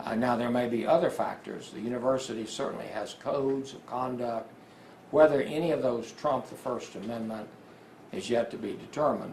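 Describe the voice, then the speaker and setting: Over noticeable background noise and audible room echo, a man talks at a fairly quick pace in a medium pitch, with ordinary pitch variation and big swings in loudness. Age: 70s. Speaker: attorney. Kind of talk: press conference.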